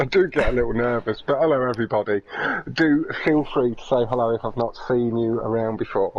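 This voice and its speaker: Noticeable background noise surrounds a man who speaks at a fairly quick pace with ordinary pitch variation. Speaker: esports race commentator. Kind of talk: live commentary with casual chat.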